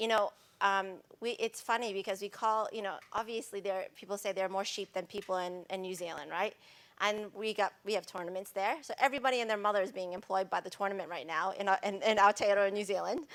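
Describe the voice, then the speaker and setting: Talking at a very fast pace, a woman with an American accent holds a medium pitch and fairly even intonation. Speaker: sustainability expert, panelist. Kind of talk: panel discussion. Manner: casual, hesitant with fillers.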